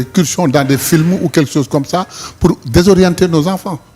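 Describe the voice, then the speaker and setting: A man talks in a somewhat breathy voice. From Senegal, Saint-Louis. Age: 60s. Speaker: politician. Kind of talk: interview.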